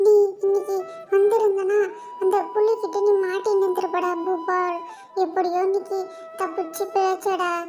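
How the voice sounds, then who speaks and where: A put-on character voice moves at a fairly slow pace. Clear music plays in the background. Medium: read story.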